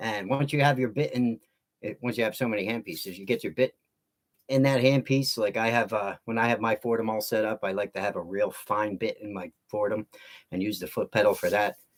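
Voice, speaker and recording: An unremarkable speaking voice, this man has a medium pitch and fairly even intonation, moving at a fairly quick pace in a dry, close sound with no echo. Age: 50s. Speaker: woodcarving teacher. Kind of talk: casual livestream chat. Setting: livestream. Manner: casual, relaxed.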